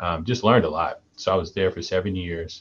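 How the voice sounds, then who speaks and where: A man with an American accent, his voice very deep and low and somewhat breathy. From US South, Mississippi. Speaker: college basketball head coach. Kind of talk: interview. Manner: halting.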